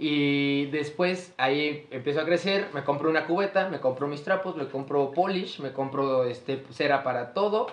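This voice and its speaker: With a Mexican accent, a man talks with hardly any pauses, his fairly high voice showing ordinary pitch variation. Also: moderate pace. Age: 20s. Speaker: podcast host. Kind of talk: casual chat.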